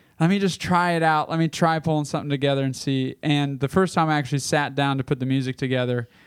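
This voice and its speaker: This man has an ordinary speaking voice at a medium pitch with fairly even intonation. The sound is dry and close, with no echo. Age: 20s. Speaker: worship pastor and podcast co-host. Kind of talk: casual chat.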